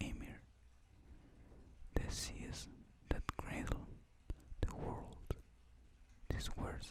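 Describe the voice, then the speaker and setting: Someone is whispering at a very slow pace. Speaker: ASMR reader / content creator. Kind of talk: ASMR mythology story reading. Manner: whispered, soft-spoken.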